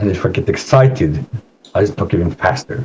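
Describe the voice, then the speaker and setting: Pitch leaps across a very wide range. The tone is dark and mellow, with some breathiness. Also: man. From Spain and Norway. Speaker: psychodrama therapist. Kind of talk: presentation; guided meditation. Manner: slow.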